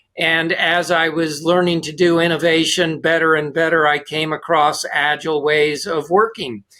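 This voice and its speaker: In an ordinary speaking voice, a man with a fairly high pitch keeps a moderate pace with hardly any pauses and fairly even intonation. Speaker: management consultant and author. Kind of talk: interview conversation.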